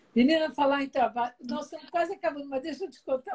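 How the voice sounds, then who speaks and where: The speaker's tone is animated, with lively intonation at a very fast pace. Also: woman. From Brazil, Espírito Santo interior. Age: 60s. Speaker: talk show host. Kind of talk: casual chat.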